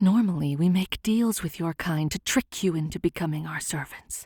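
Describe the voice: A put-on character voice at a middle pitch moves at a moderate pace in a very clean recording with a silent background.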